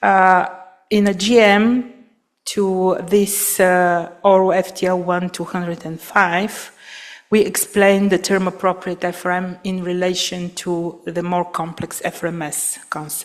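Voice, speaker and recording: A woman's medium-pitched voice with a non-native accent, monotone, flat intonation and a fairly slow pace. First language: not English. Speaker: aviation regulator presenter. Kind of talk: conference presentation. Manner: halting, many fillers.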